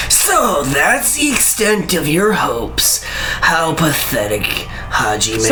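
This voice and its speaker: Someone talks in a put-on character voice at a fairly slow pace. Clear background noise runs underneath. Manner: sneering, mocking.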